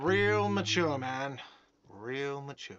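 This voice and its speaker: A man's whiny, put-on character voice at a medium pitch, with ordinary pitch variation. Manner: shouting.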